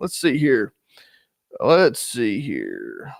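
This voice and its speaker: A man with a fairly high pitch and an American accent, dry and close with no echo. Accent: North Carolina accent, noted by viewers. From North Carolina, US South. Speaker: knife channel host, bushcraft youtuber. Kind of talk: live stream chat.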